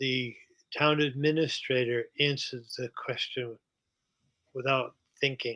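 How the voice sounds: Slow, fairly even delivery from a man of medium pitch, his tone bright and sharp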